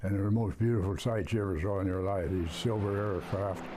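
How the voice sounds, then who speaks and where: A man with an American accent talks at a fairly quick pace in a fairly low, somewhat breathy voice with a dark, mellow tone. His intonation stays fairly even, and the room echo is audible. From Sacramento, California. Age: 90s. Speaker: war veteran. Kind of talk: interview.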